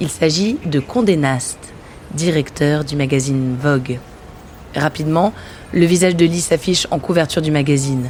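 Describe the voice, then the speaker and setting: This woman has a very deep, low voice and talks at a moderate pace with long, frequent pauses over noticeable background noise. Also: ordinary pitch variation. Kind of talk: documentary narration.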